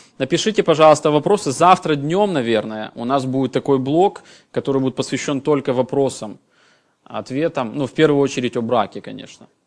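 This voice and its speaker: Lively in intonation and fairly quick in pace, a man speaks at medium pitch in a plain, everyday voice. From former Soviet Union. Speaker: pastor. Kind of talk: sermon.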